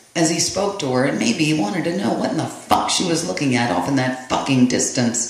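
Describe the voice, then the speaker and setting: A man talks with lively intonation as noticeable noise carries on in the background. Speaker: poet. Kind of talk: poetry reading.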